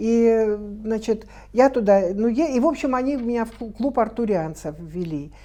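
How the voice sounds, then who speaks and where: A woman's fairly high, dark, mellow voice with lively intonation at a moderate pace, against a quiet background. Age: 60s. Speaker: documentary film director and producer. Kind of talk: TV studio interview. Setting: TV studio. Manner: halting, many fillers.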